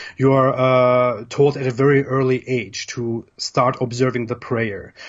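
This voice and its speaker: With a German accent, a man talks at a medium pitch in a somewhat breathy voice, his intonation monotone and flat. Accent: German accent, persistent. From Germany, Turkish family. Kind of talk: live discussion. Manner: repetitive, halting.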